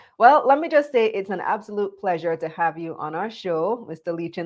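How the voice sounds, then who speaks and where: The woman's delivery moves at a moderate pace. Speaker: business show host. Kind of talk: live business show interview. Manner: energetic.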